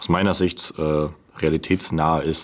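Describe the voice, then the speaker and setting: A very deep, low male voice, monotone and flat, at a fairly slow pace. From Bavarian Swabia, Unterallgäu. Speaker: novelist and podcast co-host. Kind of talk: casual chat.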